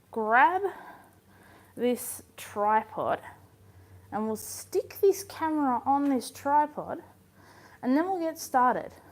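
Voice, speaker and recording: Speaking at a very slow pace, a woman's voice makes very wide pitch swings. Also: long, frequent pauses. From southeast Australia. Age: 20s. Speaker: blind lifestyle vlogger. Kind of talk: live stream cooking chat. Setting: home kitchen live stream. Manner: casual, chatty.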